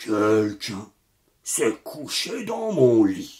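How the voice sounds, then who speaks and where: A man puts on a raspy character voice at medium pitch, speaking at a very slow pace. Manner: exclaiming, shouting.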